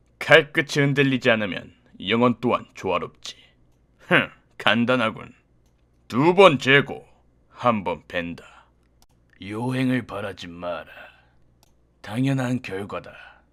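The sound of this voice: A put-on character voice at a low-to-middle pitch delivers the lines with long, frequent pauses. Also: fairly slow pace.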